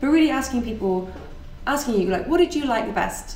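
Intonation is lively and the pace fairly quick. Noticeable background noise is present. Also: woman. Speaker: podcast host and meetup organiser. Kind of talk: casual chat, podcast.

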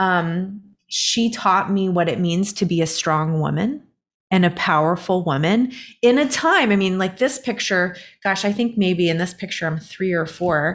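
This woman has an unremarkable speaking voice, pitched medium, with ordinary pitch variation and a fairly slow pace. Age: 40s. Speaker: inner voice coach and professional musician. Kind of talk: casual interview.

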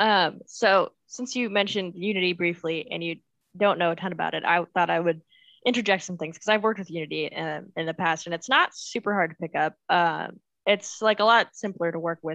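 A woman's fairly low-pitched, normal speaking voice with ordinary pitch variation, in a dry, close sound with no echo. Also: fairly quick pace. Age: 20s. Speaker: podcast co-host. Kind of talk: casual chat.

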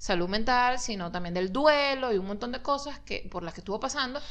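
This clip features a woman talking. Audible room echo surrounds her words. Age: 40s. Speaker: podcast co-host. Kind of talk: casual chat.

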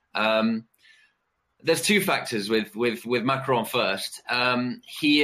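A man with a British accent speaks at a medium pitch in a bright, sharp tone. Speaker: political risk analyst. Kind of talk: panel discussion. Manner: halting, many fillers and repetitions.

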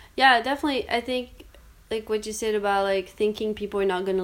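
With fairly even intonation, a woman speaks at medium pitch in a plain, everyday voice. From Canada. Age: 20s. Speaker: business developer. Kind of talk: personal testimony interview.

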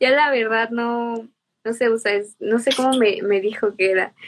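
She has an ordinary speaking voice, pitched fairly high for a woman, and this woman keeps a moderate pace. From Mexico, Irapuato, Guanajuato. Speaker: cultural promoter. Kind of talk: interview.

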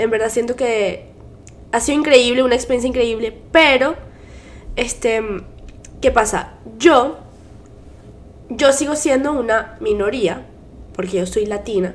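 A high-pitched woman's voice at a fairly slow pace, with long, frequent pauses. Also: ordinary pitch variation. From Venezuela. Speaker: podcast co-host. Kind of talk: casual chat.

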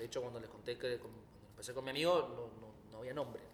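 A man talks at a medium pitch with fairly even intonation. Noticeable background noise sits behind him. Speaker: singer and guitarist. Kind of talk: casual interview. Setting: recording venue.

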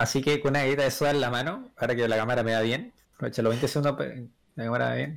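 A man talks at a very fast pace with a Chilean accent and a medium pitch with ordinary variation. The recording is very clean, with a silent background. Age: 20s. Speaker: podcast guest. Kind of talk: casual chat.

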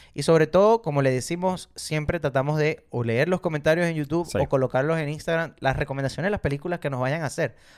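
Speaking at a very fast pace with hardly any pauses, a man uses a fairly high pitch and ordinary pitch variation on a very clean recording with a silent background. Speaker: film podcast co-host. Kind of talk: casual chat.

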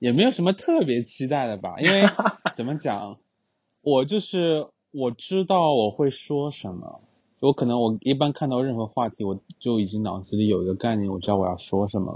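Pitched at a medium level, a man talks at a moderate pace. His pitch swings very widely. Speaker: podcast guest, longtime friend of host. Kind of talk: casual chat.

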